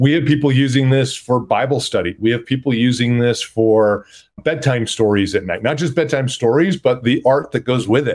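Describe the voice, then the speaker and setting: Moderately paced, medium-pitched male voice with ordinary pitch variation, a normal speaking voice. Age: 50s. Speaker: startup CEO. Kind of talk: interview.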